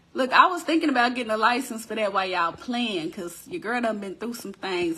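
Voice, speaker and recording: There is noticeable background noise as a woman speaks with an American accent. Her pitch is high and her pace fairly quick. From Texas. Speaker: crafting business owner and online host. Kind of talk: casual live-stream chat. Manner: animated.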